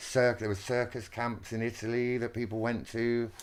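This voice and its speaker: Over a silent background in a very clean recording, a man at a medium pitch speaks at a moderate pace with a southern English accent. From Wiltshire, England. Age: 50s. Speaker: textile artist. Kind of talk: interview conversation. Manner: animated, excitable.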